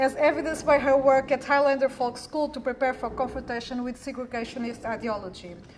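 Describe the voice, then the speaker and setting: A woman's high-pitched voice at a very fast pace, with fairly even intonation, hardly any pauses and noticeable background noise. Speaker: academic researcher. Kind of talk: conference talk. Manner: formal. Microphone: too quiet, not speaking into the mic.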